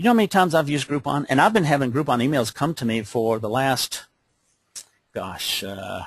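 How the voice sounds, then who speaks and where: In a dry, close sound with no echo, a man with a medium-pitched, somewhat breathy voice speaks at a fairly quick pace with lively intonation. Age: 60s. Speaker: business opportunity presenter. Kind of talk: webcast sales pitch. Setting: webcast call. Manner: animated.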